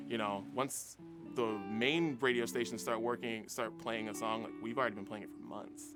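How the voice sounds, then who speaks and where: American-accented man at a medium pitch, lively intonation and moderate pace, loudness swinging widely, with music in the background. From West Virginia, USA. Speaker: radio DJ, host and emcee. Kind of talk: interview answer, casual talk to camera.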